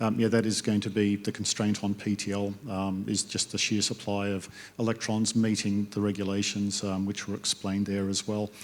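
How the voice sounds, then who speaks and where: A man with an Australian accent speaks in a fairly low, monotone, flat voice at a moderate pace with hardly any pauses. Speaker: industry panelist. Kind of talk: panel discussion.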